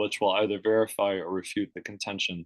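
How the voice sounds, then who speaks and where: With an American accent, a man speaks at a fairly quick pace in monotone, flat intonation, on a dry, close recording with no echo. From eastern Pennsylvania. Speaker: scientist and author. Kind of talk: lecture. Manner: halting.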